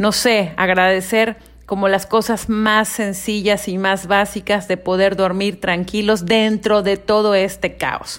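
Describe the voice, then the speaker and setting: At a very slow pace with hardly any pauses, a woman speaks in a monotone, flat intonation. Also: medium pitch for a woman. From Mexico, Mérida, Yucatán. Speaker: podcast host. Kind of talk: casual monologue. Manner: conversational, with hesitations.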